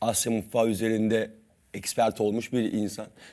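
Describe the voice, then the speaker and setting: A man with a medium pitch talks at a moderate pace on a very clean recording with a silent background. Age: 30s. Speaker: cooking competition champion. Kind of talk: TV talk show interview.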